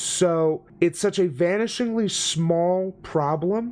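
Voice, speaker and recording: With ordinary pitch variation, a man talks at a high pitch for a man in a very clean recording with a silent background. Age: 30s. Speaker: YouTube commentator reacting to videos. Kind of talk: casual reaction commentary. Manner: casual, halting with restarts.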